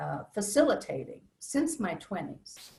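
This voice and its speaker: This is a woman's voice. It has a somewhat breathy quality. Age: 70s. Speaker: psychologist and inner work facilitator. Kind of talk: interview.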